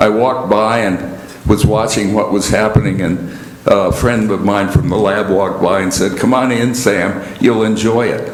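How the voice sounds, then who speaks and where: A man's fairly low voice at a moderate pace, with fairly even intonation, audible room echo and noticeable background noise. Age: 80s+. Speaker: lay speaker. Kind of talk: sermon. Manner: halting.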